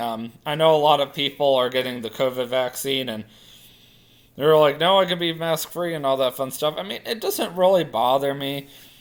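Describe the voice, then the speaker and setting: Quiet, fairly quick speech with lively intonation. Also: man. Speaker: vlogger. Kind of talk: casual vlog monologue.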